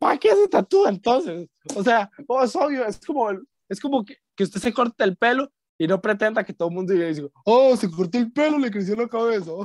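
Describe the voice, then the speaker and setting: A man with a Costa Rican accent, high-pitched and fairly quick, with lively intonation and a dry, close sound free of echo. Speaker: podcast host. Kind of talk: casual chat.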